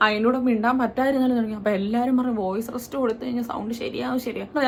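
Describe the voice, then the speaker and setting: Noticeable background noise sits behind a woman speaking at a fairly high pitch with fairly even intonation. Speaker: lifestyle vlogger. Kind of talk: casual talk to camera.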